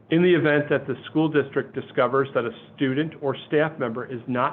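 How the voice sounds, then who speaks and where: A man with an upstate New York accent, fairly even intonation, and a moderate pace. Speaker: school superintendent. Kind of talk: webinar presentation. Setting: webinar.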